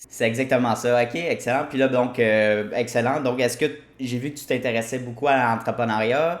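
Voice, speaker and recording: Speaking in a plain, everyday voice, a man keeps a medium pitch, fairly even intonation and a moderate pace. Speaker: podcast host. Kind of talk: podcast interview.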